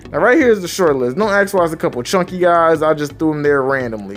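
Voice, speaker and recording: A man talking at a very fast pace with lively intonation, music playing in the background. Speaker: gaming video tutorial creator. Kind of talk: tutorial.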